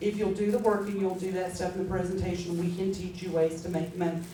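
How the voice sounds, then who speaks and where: Audible room echo and noticeable background noise surround a woman talking at a medium pitch. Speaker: direct sales team leader. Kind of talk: training talk to sales team. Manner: fast; animated.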